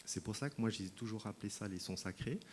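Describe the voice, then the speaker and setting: In a Swiss accent, a man talks with ordinary pitch variation. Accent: Swiss French, noticeable. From Switzerland. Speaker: sound healing practitioner, speaker at wellness fair. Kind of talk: talk to an audience. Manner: hesitant, many fillers.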